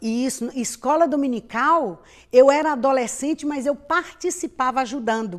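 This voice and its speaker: A woman speaks at a high pitch and a moderate pace with ordinary pitch variation, in a very clean recording with a silent background. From Brazil, Bahia. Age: 50s. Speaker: pastor and missionary. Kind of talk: interview testimony.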